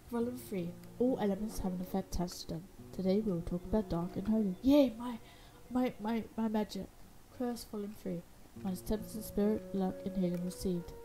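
A woman with an ordinary speaking voice, medium pitch, moderate pace and lively intonation. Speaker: gaming YouTuber. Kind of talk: let's play gameplay commentary. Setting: home recording at computer. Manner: casual, chatty, self-interrupting.

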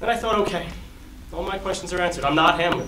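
A man talks at a very fast pace with a high pitch and ordinary pitch variation. Background noise is noticeable. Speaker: stage actor. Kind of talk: theatrical monologue. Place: hall. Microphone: camera far.

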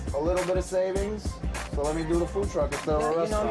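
Clear music plays in the background as a man speaks with a New York accent. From New York City. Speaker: food truck owner. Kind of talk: interview answer. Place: kitchen.

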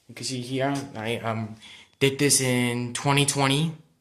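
Amid audible room echo, a man speaks fairly slowly at medium pitch in a flat monotone. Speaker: video blogger. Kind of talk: casual vlog. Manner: halting.

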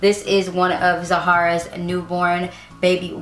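A woman's voice in audible room echo over light background noise. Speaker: parenting vlogger. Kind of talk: casual product show-and-tell vlog. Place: home room.

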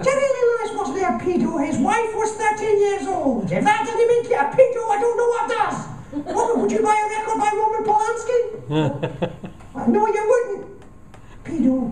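In a put-on character voice, a man uses falsetto at an extremely high pitch and a moderate pace, with clear background noise and a clear echo. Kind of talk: live comedy performance. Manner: argumentative, exasperated.

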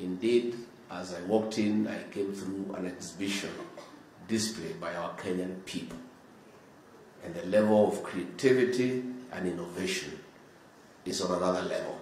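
Speaking at a moderate pace with long, frequent pauses, a man with a fairly low pitch shows ordinary pitch variation amid audible room echo and light background noise. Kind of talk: formal speech. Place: hall. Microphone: podium.

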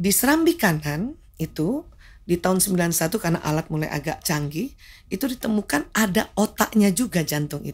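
A woman's medium-pitched, somewhat breathy voice with lively intonation at a moderate pace. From Jakarta, Indonesia. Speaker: medical doctor; guest. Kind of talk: interview talk show. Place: studio. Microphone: studio mic.

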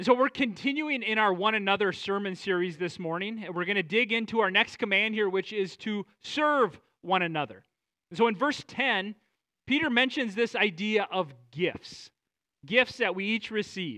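Against a quiet background, a man uses a raised, projected voice with a bright, sharp tone and ordinary pitch variation. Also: moderate pace. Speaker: preacher. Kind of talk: sermon. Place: church.

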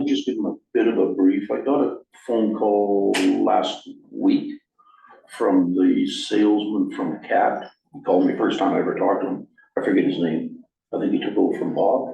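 A man speaks at a moderate pace with a low pitch, ordinary pitch variation and vocal fry, and the room echo is audible.

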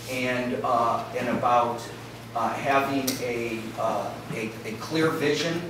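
A man's voice carries audible room echo. Noticeable background noise is also present. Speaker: keynote speaker. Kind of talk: lecture. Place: hall.

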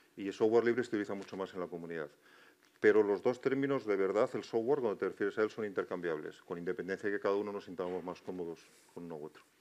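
Speaking at a very fast pace, a man with a fairly low pitch shows ordinary pitch variation and big swings in loudness. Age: old. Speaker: university professor. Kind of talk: panel discussion. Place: stage.

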